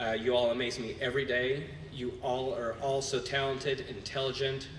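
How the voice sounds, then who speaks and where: There is audible room echo and noticeable background noise as a man speaks at a medium pitch. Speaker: cheer gym owner and coach. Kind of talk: award acceptance speech. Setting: gala stage with audience. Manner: loud.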